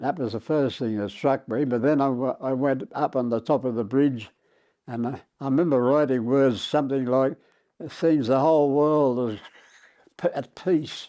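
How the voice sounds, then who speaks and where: Fairly even intonation and a moderate pace in an Australian accent, against a quiet background. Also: man, medium pitch for a man. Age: 80s+. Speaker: war veteran. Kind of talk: interview answer.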